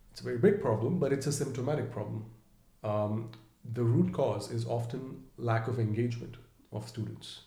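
Audible room echo is present in the recording. A man's speech moves at a moderate pace. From India, Mumbai. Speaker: edtech startup founder. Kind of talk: interview. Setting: in person.

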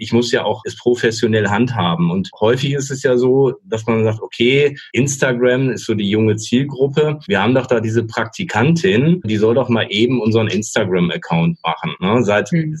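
A man speaks at a medium pitch in a somewhat breathy voice. His pace is moderate, with ordinary pitch variation and hardly any pauses. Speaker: podcast host. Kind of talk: casual interview. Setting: remote recording. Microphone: connection sometimes thin, robotic words.

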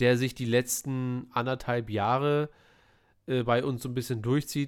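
The recording is very clean, with a silent background. A man speaks at a medium pitch and fairly slow pace, in a monotone, flat intonation. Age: 30s. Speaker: film podcast host. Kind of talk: casual chat.

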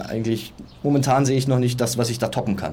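A man's somewhat breathy voice has a dark, mellow tone with audible room echo. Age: 30s. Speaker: personal trainer and aspiring entrepreneur. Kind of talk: casual interview. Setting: outdoors on a sunny balcony.

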